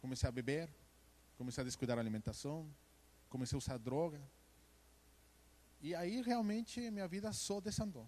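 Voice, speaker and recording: With a Mexican accent, a man talks at a fairly quick pace in a fairly high voice, his pitch swinging very widely between long, frequent pauses. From Mexico. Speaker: church member giving testimony. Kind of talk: testimony. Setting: church service.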